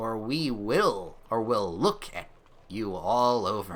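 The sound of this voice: A man's put-on character voice at medium pitch, delivered at a very slow pace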